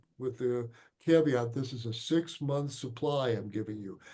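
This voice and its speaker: A man with an American accent speaks at a fairly slow pace, his pitch medium. The tone is dark and mellow, with audible room echo. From Chicago, US Midwest. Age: 70s. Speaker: physician. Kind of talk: lecture Q&A. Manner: halting.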